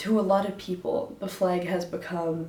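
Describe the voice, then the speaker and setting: A woman's fairly low voice in an American accent, fairly even in intonation, with noticeable background noise. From United States. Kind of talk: casual talk to camera.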